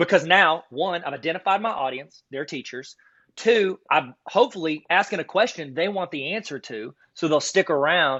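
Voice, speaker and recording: A man's high voice with lively intonation and big swings in loudness. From US South (south Arkansas). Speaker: card collecting YouTuber and teacher trainer. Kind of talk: casual podcast chat. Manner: fast; animated.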